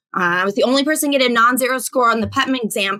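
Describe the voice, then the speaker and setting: With an American accent, a woman speaks in a high, bright, sharp voice whose pitch varies in an ordinary way. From Alaska, US. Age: 40s. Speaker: teacher and edtech expert. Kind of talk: podcast interview. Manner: animated, chatty with many restarts.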